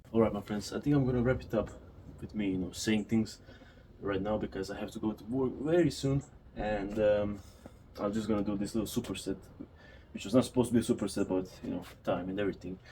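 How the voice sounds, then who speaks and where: Despite long, frequent pauses, a man with a non-native accent talks at a very fast pace in a dark, mellow tone, fairly low in pitch with ordinary pitch variation. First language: not English. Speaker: fitness vlogger. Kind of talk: casual vlog talk to camera. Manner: unscripted, occasionally halting.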